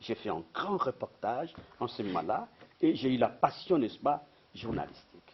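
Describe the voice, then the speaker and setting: This man's medium-pitched voice moves at a fairly slow pace through very wide pitch swings. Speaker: retired professor and journalist. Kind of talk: interview, life story. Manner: halting.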